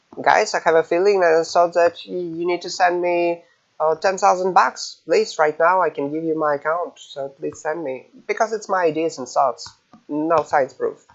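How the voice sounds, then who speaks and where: A non-native accent at a moderate pace, with fairly even intonation. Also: man, high pitch for a man. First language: not English. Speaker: gaming guide creator, alliance leader. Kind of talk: tutorial. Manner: halting, many fillers.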